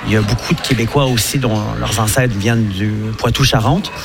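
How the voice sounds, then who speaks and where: Audible room echo surrounds a man's voice. Underneath, noticeable background noise is present. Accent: Quebec. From Quebec, Saint-Hubert near Montreal. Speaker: Quebec bar owner. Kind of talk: radio interview. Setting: live broadcast from a bar.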